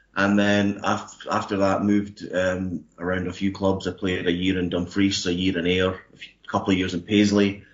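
Speaking in a Scottish accent at a moderate pace, a man with a very deep, low pitch keeps a monotone, flat delivery with hardly any pauses. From Scotland, Kirkcaldy in Fife. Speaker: ice hockey coach. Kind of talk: panel discussion.

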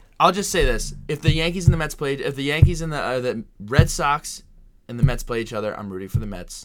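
A man's fairly high, lively voice at a fairly quick pace, with music in the background. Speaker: sports podcast co-host. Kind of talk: casual chat.

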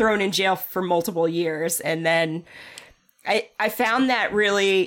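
At a fairly slow pace, a woman talks with medium pitch and ordinary pitch variation. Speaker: podcast co-host. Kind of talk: casual chat. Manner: laughs often.

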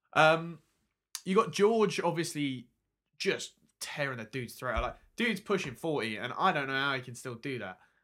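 On a very clean recording with a silent background, the voice has a bright, sharp tone, very wide pitch swings and big swings in loudness at a moderate pace. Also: man, fairly high pitch for a man. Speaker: music journalist and podcast co-host. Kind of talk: casual chat.

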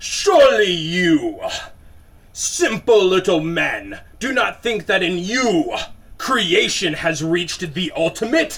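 A man puts on a character voice, pitched high and delivered fairly slowly. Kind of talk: 1930s radio horror acting. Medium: audio drama. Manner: cold, menacing, contemptuous.

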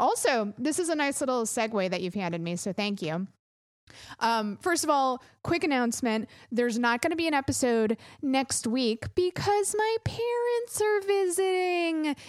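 A high-pitched woman's voice at a moderate pace, with very wide pitch swings. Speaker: podcast host. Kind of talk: casual chat. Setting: home studio, recorded remotely. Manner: animated.

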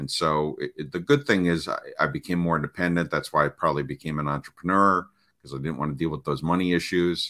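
Recorded in a dry, close sound with no echo, a man speaks in a bright, sharp tone with fairly even intonation. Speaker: parenting coach. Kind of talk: casual interview. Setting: video call.

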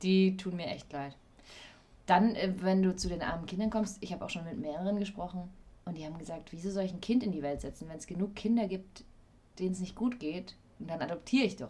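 A woman speaks at a fairly quick pace and a medium pitch, with ordinary pitch variation and a somewhat breathy voice. Her loudness swings widely, broken by long, frequent pauses. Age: 20s. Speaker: actress and voice-over artist, podcast co-host. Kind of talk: casual chat.

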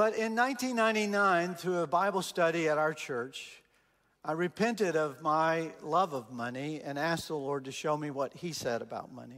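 A man with a Texan accent talks at a moderate pace in a fairly high pitch with lively intonation. The recording is very clean, with a silent background. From Texas. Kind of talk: sermon. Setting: church with congregation.

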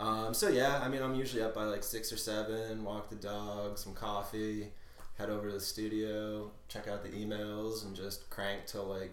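Flat, monotone delivery from a man at a fairly low pitch and moderate pace, with audible room echo. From New England. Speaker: graphic designer. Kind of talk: casual interview.

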